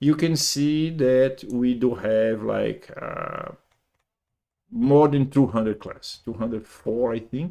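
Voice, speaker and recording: A man in a Brazilian Portuguese accent speaks at a medium pitch with ordinary pitch variation. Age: 50s. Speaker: programming teacher. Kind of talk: lecture. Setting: live stream. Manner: slow; halting.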